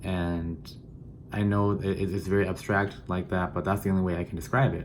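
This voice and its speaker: A man with a Southeast Asian accent talks at a fairly quick pace. His voice is very deep and low, with fairly even intonation. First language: Hmong. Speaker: student teacher. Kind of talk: personal introduction video. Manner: halting, many fillers and repeats.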